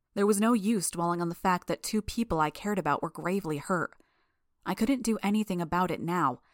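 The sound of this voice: An unforced reading voice with ordinary pitch variation, set against a quiet background.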